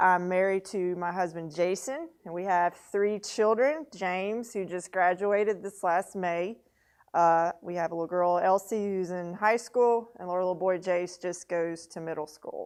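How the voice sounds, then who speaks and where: Against a quiet background, a woman speaks in a Southern US accent at a medium pitch. Her pace is fairly slow and her intonation fairly even. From Mississippi (Monticello/Natchez). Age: 40s. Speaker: newspaper editor and publisher. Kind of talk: mentor talk to students.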